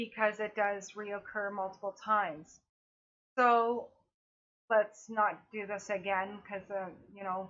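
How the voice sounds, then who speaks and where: A woman speaks at a very slow pace, leaving long, frequent pauses. Her intonation is monotone and flat. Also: medium pitch for a woman, big swings in loudness. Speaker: cancer patient vlogger. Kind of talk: personal vlog update. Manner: halting, self-correcting.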